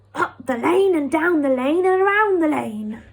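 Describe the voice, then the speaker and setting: A woman puts on a growling character voice at an extremely high pitch, speaking at a moderate pace. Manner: friendly, nice.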